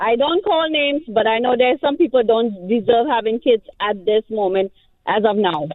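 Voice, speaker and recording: A woman with a Trinidadian accent speaks at a fairly high pitch. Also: lively intonation, moderate pace. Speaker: caller. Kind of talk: radio call-in.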